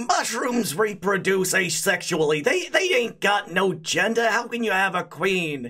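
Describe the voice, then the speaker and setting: A gruff, put-on character voice sits at a middle pitch. It moves at a moderate pace with hardly any pauses. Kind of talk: rough, colloquial.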